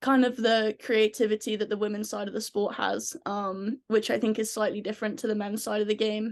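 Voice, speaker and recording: A woman with a strong English accent talks at a fairly high pitch in a monotone, flat intonation. The background is quiet. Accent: English, very thick. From England. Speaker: ice hockey player. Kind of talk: podcast interview. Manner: many filler ums.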